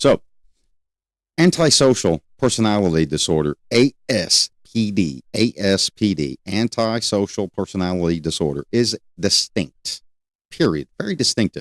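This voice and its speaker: The man's fairly low voice swings very widely in pitch as he speaks at a fairly slow pace, the sound dry and close with no echo. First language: not English. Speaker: criminal justice educator, livestream host. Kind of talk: live-streamed educational lecture. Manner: conversational, loosely structured.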